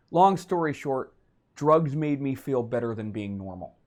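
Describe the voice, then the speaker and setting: Over a quiet background, a man with a medium pitch speaks at a fairly quick pace with lively intonation. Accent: western Canadian. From Vancouver, western Canada. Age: 40s. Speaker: comedian. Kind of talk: interview.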